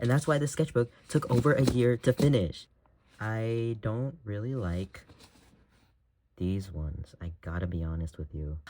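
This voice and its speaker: Soft-spoken and dark, mellow in tone, a man at a medium pitch talks at a fairly slow pace with very wide pitch swings. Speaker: artist. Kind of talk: casual chat. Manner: halting.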